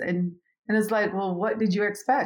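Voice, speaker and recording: A woman speaks with a Jamaican accent. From Jamaica, Kingston. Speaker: business consultant. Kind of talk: interview, life story and advice.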